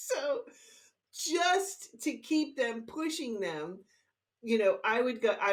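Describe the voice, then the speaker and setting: A woman's animated, high-pitched voice with very wide pitch swings. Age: 60s. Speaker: teacher and health educator. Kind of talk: interview.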